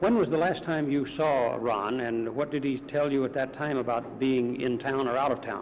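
Over light background noise, a man with a normal speaking voice talks at medium pitch and a moderate pace, with fairly even intonation and hardly any pauses. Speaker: court news reporter. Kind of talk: news interview questions. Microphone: old recording.

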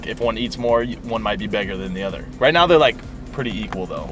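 A man speaks with clear music in the background. The sound is dry with no echo. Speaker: fitness vlogger. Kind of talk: casual vlog chat. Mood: relaxed, joking. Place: car. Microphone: phone near.

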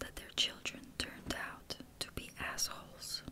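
Whispering from a woman with noticeable background noise behind her. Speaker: ASMR creator. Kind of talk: ASMR reading of personal notes as mantras. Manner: whispered, soft.

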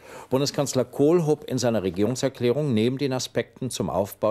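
Lively intonation and a dark, mellow tone mark a man's speech at a moderate pace. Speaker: news anchor. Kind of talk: television news reading. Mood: calm, formal, measured. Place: studio.

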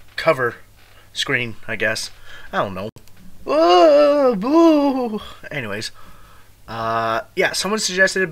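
The pace is very slow. It belongs to a man. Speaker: reaction video host. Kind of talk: casual reaction video intro.

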